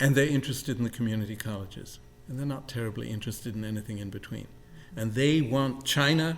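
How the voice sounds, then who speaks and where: A man talks at a very fast pace in a medium pitch, with ordinary pitch variation and big swings in loudness. Room echo is audible. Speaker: college president. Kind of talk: interview. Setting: on campus with live audience.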